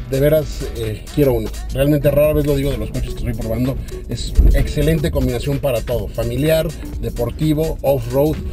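A man talks at a fairly quick pace over clear music in the background. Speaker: car reviewer, radio host. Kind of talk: commentary while test driving. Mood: enthusiastic. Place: car.

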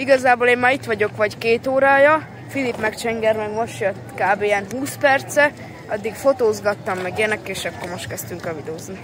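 Amid noticeable background noise, a woman speaks at a moderate pace with big swings in loudness and ordinary pitch variation, in a dry sound with no echo. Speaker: vlogger. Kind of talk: casual vlog chat. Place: street.

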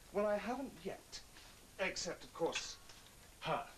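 A man puts on a character voice, pitched high, with big pitch swings, a fairly bright tone and a fairly slow pace.

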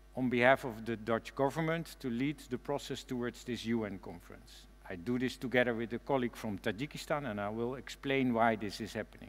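A man uses ordinary pitch variation while speaking at a fairly quick pace. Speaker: keynote speaker. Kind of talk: keynote speech. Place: stage. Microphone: headset.

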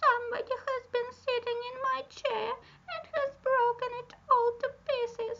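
Using a put-on character voice, a woman pitches it extremely high. Her delivery is fairly slow. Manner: small and meek.

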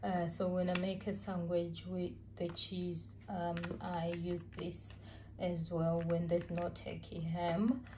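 Monotone and flat in intonation, a woman speaks slowly in a fairly low pitch.

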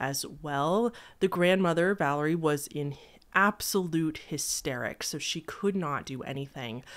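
The background is quiet as a woman speaks. Her pitch is very deep and low, with ordinary variation. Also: fairly slow pace. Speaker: true crime video host. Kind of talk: storytelling commentary. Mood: serious, somber. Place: home room. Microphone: studio mic.

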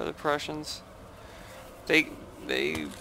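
The man talks at a moderate speed in a fairly high pitch, with noticeable noise behind him. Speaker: strategy game YouTuber. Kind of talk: gameplay replay commentary.

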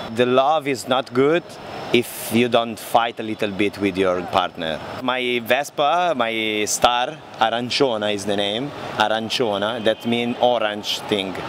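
This man has a medium pitch, an Italian accent and ordinary pitch variation, speaking at a fairly slow pace. The sound is dry with no echo, though there is noticeable background noise. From Italy (Milan). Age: 30s. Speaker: motorbike traveller. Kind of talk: interview. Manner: halting. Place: street. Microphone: handheld.

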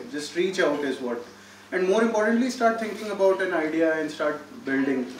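A man with an Indian accent, lively intonation and a fairly quick pace, audible room echo and light background noise around him. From India, Delhi. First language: Hindi. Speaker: startup incubator CEO; guest. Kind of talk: talk to students. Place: hall. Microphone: podium.

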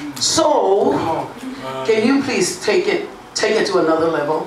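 A woman talks at a fairly slow pace. Room echo is audible, along with noticeable background noise. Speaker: church pastor. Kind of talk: live sermon to a congregation. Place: church.

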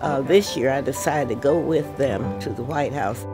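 Clear music plays in the background as a woman with an American accent speaks at a fairly slow pace. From Tulsa, Oklahoma. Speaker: army veteran; volunteer fundraiser for schools. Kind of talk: interview answer. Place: home room.

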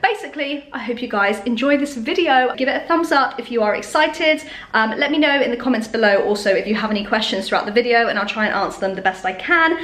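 A woman's high-pitched voice at a very fast pace, with hardly any pauses. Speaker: fitness vlogger. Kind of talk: casual vlog chat. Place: kitchen. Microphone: phone near.

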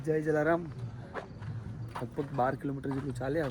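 Audible room echo and noticeable background noise fill the recording. A man speaks at a medium pitch with fairly even intonation. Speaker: vlogger on a pilgrimage walk. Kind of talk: travel vlog narration. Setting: outdoors.

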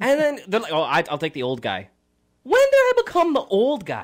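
Against a quiet background, the speaker uses an animated tone at a moderate pace. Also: man. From Canada. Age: 20s. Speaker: radio co-host. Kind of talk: casual radio chat. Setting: radio studio. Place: studio. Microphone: studio mic.

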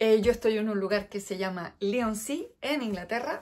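A woman speaks with a Chilean accent. Her pitch is medium, with ordinary variation. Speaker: knitting vlogger; crafting podcaster. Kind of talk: casual chat. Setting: indoors at home. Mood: chatty, briefly wistful. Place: home room. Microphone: phone near.

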